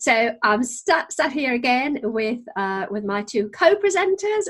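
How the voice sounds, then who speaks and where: A woman with a Geordie accent, high-pitched and bright and sharp in tone, fairly slow, her pitch swinging very widely. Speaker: podcast host, business trainer. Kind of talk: casual chat.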